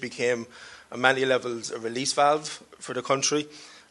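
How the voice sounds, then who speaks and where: In a Cork accent, a man talks at a fairly quick pace. His medium-pitched voice is monotone, with flat intonation. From Ireland, Cork. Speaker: panelist, diaspora researcher. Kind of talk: panel discussion. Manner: hesitant, repeats words.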